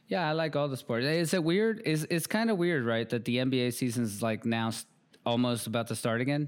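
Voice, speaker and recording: A man with a plain, everyday voice talks at a medium pitch and a fairly quick pace, his intonation lively, on a very clean recording with a silent background. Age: 40s. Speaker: podcast host. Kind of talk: casual chat.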